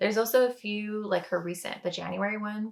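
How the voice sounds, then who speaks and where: A woman with an unremarkable speaking voice talks at a moderate pace, her medium pitch carried by fairly even intonation. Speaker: knitting podcaster. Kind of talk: casual chat. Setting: home kitchen.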